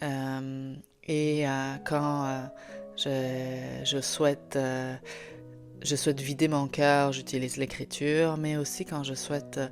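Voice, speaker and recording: Music plays in the background as a woman speaks at a very slow pace with a slight Italian accent. Her pitch is very deep and low, and her intonation is monotone and flat. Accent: faint Italian. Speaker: author and podcast host. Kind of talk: podcast talk. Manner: hesitant, many fillers.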